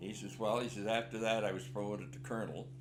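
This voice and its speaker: This man has a Canadian accent and a fairly low pitch with ordinary pitch variation. Room echo is audible, and music plays in the background. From Canada. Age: 80s+. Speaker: war veteran. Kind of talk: interview storytelling. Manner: conversational, halting.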